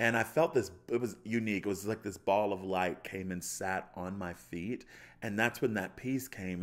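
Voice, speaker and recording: An animated man with an American accent speaks at a moderate pace and a fairly low pitch. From US, Baltimore suburbs, Maryland. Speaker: chef and pastor. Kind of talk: testimony. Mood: joyful, warm. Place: studio. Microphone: studio mic.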